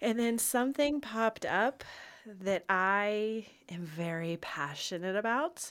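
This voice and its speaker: This woman speaks very slowly in a fairly high pitch, with lively intonation. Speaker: wedding podcast host. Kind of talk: casual chat.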